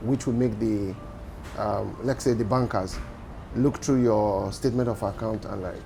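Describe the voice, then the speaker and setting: With music in the background, a man of fairly low pitch speaks at a moderate pace in fairly even intonation, leaving long, frequent pauses. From Nigeria. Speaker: entrepreneur. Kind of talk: interview.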